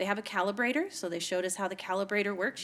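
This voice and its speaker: This is a woman with a medium pitch. Her pitch varies in an ordinary way. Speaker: city council member. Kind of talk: council meeting report.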